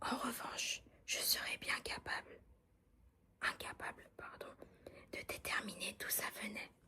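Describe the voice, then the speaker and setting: The speaker is whispering. The pace is very slow. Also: woman. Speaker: ASMR content creator. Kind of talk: whispered audiobook reading. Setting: studio, close-mic ASMR. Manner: whispered, soft, calming.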